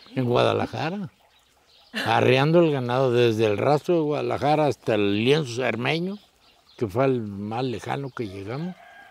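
At a moderate pace, a man speaks with lively intonation at medium pitch. Background noise is noticeable. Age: 70s. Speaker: charro and horse breeder. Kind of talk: casual interview chat. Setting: on a hacienda, outdoors.

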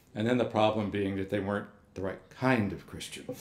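The speaker has an American accent and ordinary pitch variation. Room echo is audible. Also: man. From Texas. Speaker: monk and manuscript scholar; invited lecturer. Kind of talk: lecture; Q&A answer. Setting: lecture hall with audience. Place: hall. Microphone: podium.

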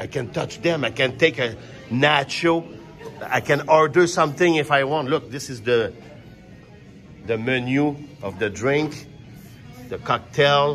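A man with a Quebec French accent speaks at a fairly slow pace in a fairly high voice, his intonation lively, with long, frequent pauses and faint music in the background. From Quebec, Canada. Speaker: stand-up comedian. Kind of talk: casual vlog talk to camera. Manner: upbeat, excited. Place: stage. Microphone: phone near.

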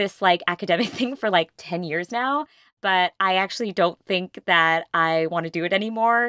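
Against a quiet background, a woman talks at a moderate pace with lively intonation and a bright, sharp tone. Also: dry sound with no echo. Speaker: podcast guest. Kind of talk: interview answer, personal story.

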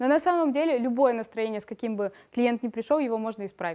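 Over a quiet background, a woman speaks at a fairly quick pace. Her high-pitched voice carries a dark, mellow tone. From Ukraine, Odesa; Ukraine. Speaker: makeup and brow artist, trainer; trainer. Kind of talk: TV studio interview. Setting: TV studio. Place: studio. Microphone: headset.

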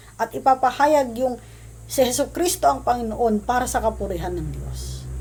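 Noticeable background noise runs beneath a woman speaking at a fairly high pitch. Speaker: pastor. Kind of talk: sermon. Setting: livestream. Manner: formal.

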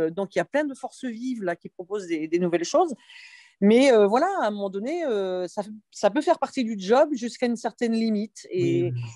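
A woman's fairly high voice with a dark, mellow tone, lively intonation and a fairly quick pace, in a dry sound with no echo against a quiet background. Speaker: teacher at agricultural school. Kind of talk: online meeting discussion. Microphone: video call.

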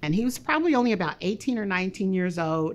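A woman's lively intonation in an American accent, at a moderate pace. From Kansas City, Missouri (east side); Missouri. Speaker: public health researcher and program leader. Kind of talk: interview. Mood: calm, earnest. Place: office.

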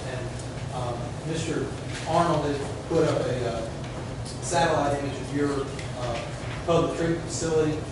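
Strong room echo and noticeable background noise fill the recording. A man speaks through it at a moderate pace. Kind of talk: formal presentation to a board. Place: hall. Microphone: camera far.

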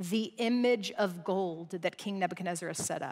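A woman talks at a fairly slow pace with ordinary pitch variation. The background is quiet. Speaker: guest preacher. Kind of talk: sermon. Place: stage. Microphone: headset.

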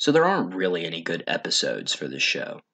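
The background stays quiet. A man talks. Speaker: online video reviewer. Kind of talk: commentary. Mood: wry, sarcastic critique. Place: home room. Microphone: studio mic.

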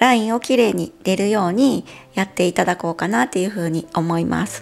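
With faint music in the background, a woman talks at a fairly quick pace with lively intonation. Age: 40s. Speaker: beauty vlogger. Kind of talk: casual talk to camera. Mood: relaxed, cheerful. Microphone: lapel.

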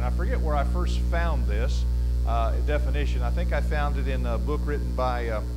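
With music in the background, a man is talking. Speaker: preacher teaching a class. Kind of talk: lecture. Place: church.

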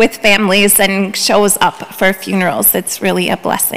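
A woman is talking. Her pace is moderate. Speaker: pastor. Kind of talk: church announcements and welcome. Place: church. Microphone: podium.

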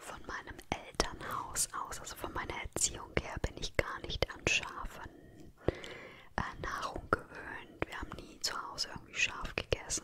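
Someone whispers at a fairly slow pace. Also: woman. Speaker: ASMR creator. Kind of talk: ASMR favorites haul, whispered talk to camera. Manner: whispered, soft-spoken, relaxing. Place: home room. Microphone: studio mic.

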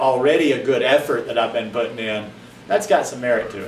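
A man speaks at a moderate pace, with light background noise and audible echo in the room. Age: 50s. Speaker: vlogger; lifestyle vlogger. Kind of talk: casual monologue. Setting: at home, rainy afternoon. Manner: hesitant, many fillers. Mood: reflective, earnest. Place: home room. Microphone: camera far.

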